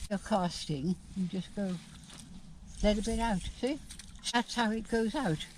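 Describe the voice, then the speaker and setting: Her pitch varying in an ordinary way, a woman speaks at a moderate pace in a somewhat breathy voice. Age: 80s+. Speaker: veteran angler. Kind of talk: casual chat. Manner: halting.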